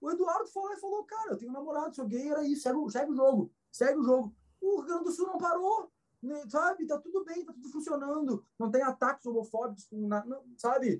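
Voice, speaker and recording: A man speaks at an extremely high pitch, his intonation lively and his loudness rising and falling sharply. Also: fairly quick pace. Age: 40s. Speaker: astrologer and musician. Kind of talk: casual chat. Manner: halting.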